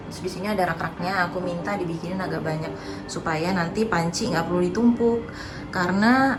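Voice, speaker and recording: With music in the background and audible room echo, a woman talks at a fairly quick pace. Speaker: home and lifestyle vlogger. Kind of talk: casual vlog tutorial. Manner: loud. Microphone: no microphone, camera audio.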